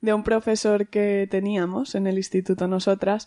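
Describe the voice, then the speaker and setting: A woman talks at a moderate pace in a medium pitch with a dark, mellow tone. Her delivery is monotone and flat, and the sound is dry and close with no echo. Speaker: podcast host, teacher. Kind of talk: casual chat.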